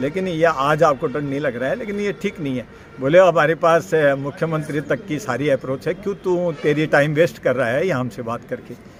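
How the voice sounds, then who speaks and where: A man speaks in a fairly high pitch. There is noticeable background noise. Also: ordinary pitch variation, moderate pace. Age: 60s. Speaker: local resident. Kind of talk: media statement.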